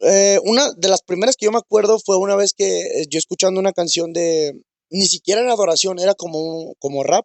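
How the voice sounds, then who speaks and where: Delivered at a fairly quick pace, the speech carries ordinary pitch variation. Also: man, high pitch for a man. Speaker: church minister. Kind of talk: testimony. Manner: halting.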